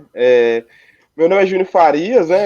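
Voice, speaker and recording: A man talks at a fairly slow pace with a fairly high pitch. His tone is dark and mellow, with ordinary pitch variation. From Brazil, Ourinhos, São Paulo state. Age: 20s. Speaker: local election candidate and history student. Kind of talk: political interview. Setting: livestream.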